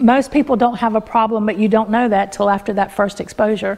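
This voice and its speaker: A woman talks with an Appalachian accent and fairly even intonation. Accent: Appalachian US Southern. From Appalachian mountains, US. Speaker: master herbalist; presenter. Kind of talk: workshop talk to a live audience. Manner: hesitant, with many fillers. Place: home room.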